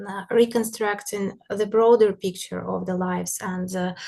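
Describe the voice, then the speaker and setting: With noticeable background noise behind her, a woman speaks in a Russian accent at a medium pitch with monotone, flat intonation. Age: young. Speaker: art historian. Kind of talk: lecture. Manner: halting, many fillers.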